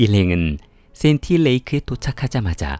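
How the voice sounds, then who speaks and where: With music in the background, a man speaks at a medium pitch and a moderate pace. His pitch swings very widely, and the sound is dry and close, with no echo. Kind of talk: true crime story narration.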